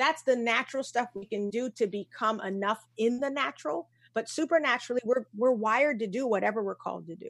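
A woman with a plain, everyday voice talks at a fairly quick pace and a fairly high pitch, with hardly any pauses, ordinary pitch variation and big swings in loudness. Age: 40s. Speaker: keynote speaker and coach. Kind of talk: casual chat.

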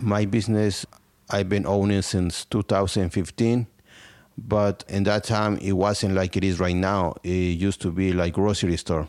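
A man with a Spanish accent and a fairly low pitch speaks at a moderate pace with fairly even intonation and very even loudness, on a very clean recording with a silent background. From Mexico, Tlaxcala. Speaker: small business owner. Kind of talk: interview testimony.

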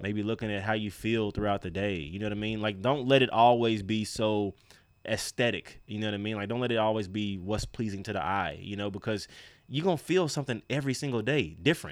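A man with an unremarkable speaking voice talks at a fairly quick pace, his pitch fairly low and its variation ordinary. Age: 30s. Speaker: fitness podcast co-host and trainer. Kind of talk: casual chat.

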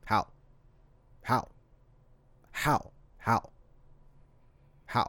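A robotic put-on character voice sits at a low-to-middle pitch. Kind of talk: monotone. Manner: flat, robotic, unemotional.

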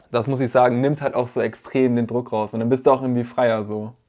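Against a quiet background, a man speaks at a very fast pace in a dark, mellow, medium-pitched voice with monotone, flat intonation. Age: 20s. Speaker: photographer and videographer, student. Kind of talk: casual chat.

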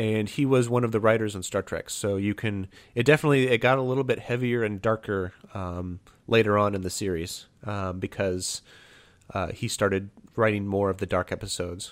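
The recording is very clean, with a silent background. A man with a plain, everyday voice talks at a fairly quick pace, fairly low in pitch, with ordinary pitch variation. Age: 30s. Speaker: pencil blogger and podcaster. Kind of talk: casual chat.

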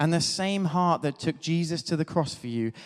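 Here a man speaks with a southern English accent at a fairly high pitch. The recording is very clean, with a silent background. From Devon, England. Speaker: clergy. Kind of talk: sermon.

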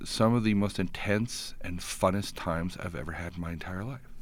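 Audible room echo surrounds a man with a Canadian accent whose pitch is very deep and low. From Alberta, Canada (Edmonton). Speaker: tech startup co-founder. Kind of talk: interview.

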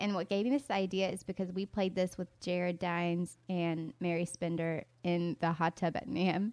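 The voice carries a Southern US accent with fairly even intonation. There are hardly any pauses. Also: woman, fairly low pitch for a woman, moderate pace. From US South, North Carolina. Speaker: podcast co-host and YouTuber. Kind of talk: casual chat.

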